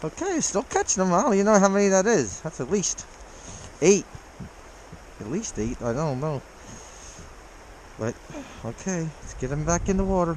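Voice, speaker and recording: A high-pitched man with an American accent speaks at a moderate pace in an excited tone, his pitch swinging very widely, with long, frequent pauses and noticeable background noise. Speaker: fly-fishing vlogger. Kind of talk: casual outdoor vlog commentary. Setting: outdoors by a creek in freezing weather. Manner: excited, exclaiming. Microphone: muffled by face mask.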